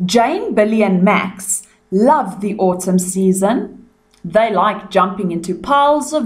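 Someone reads aloud plainly. The pitch rises and falls in a lively way.

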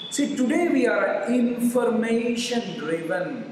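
Audible room echo carries the voice over light background noise. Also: man. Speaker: yoga teacher. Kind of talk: lecture-style answer to question. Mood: warm, smiling. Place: home room.

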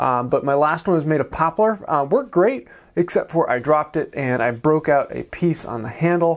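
In a quiet setting, a man talks with pitch that varies in an ordinary way. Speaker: woodworking host. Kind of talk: casual vlog chat. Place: workshop.

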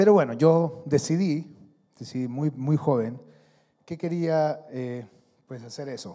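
A man speaks at a very slow pace in a dark, mellow tone, his loudness swinging widely while his pitch varies in an ordinary way against a quiet background. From Honduras. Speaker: athlete and speaker; speaker. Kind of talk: motivational talk. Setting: stage with audience. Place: hall. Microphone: handheld.

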